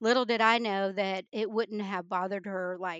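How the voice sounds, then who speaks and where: A woman with a slight Midwestern accent. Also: dry, close sound with no echo, quiet background. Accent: slight Midwestern drawl. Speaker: retired military guest. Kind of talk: casual interview chat.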